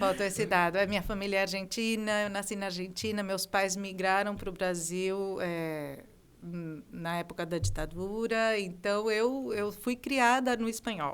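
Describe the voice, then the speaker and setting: A woman at a fairly slow pace, with ordinary pitch variation and hardly any pauses. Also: medium pitch for a woman. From southern Brazil (raised from 11 months, Argentine parents). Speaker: music professor and singer. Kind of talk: interview. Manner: halting, with many fillers.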